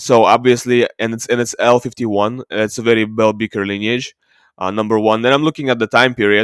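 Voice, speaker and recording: A man with a non-native accent, fairly quick and monotone, flat in intonation, in a very clean recording with a silent background and a dry, close sound with no echo. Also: medium pitch for a man. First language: not English. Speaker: ancient DNA video creator. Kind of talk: screen-share tutorial. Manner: halting, many fillers.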